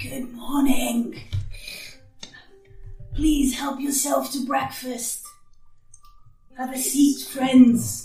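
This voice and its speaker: A woman talks in a put-on character voice, raspy and high-pitched, at a very slow pace with long, frequent pauses and monotone, flat intonation. Faint music plays in the background, and there is a slight echo. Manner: welcoming.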